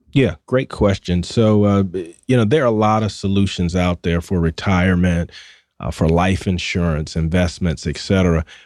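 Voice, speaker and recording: On a very clean recording with a silent background and a dry, close sound with no echo, a man with a Southern US accent speaks at a moderate pace in a very deep, low pitch. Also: ordinary pitch variation. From US South. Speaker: financial broker. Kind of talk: radio interview. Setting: studio.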